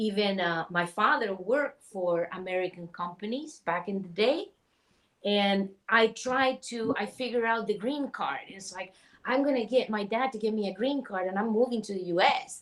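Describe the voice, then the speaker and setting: Speaking with a Chilean accent, a woman uses a fairly high pitch with ordinary variation at a moderate pace. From Chile, Santiago. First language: Spanish. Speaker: spiritual healer. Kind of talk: interview.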